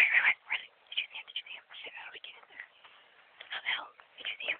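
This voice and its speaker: The woman speaks in a whisper. Her words come very fast. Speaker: vlogger. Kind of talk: casual outdoor vlog narration. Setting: outdoors. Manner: whispered, quiet. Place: forest. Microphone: phone near.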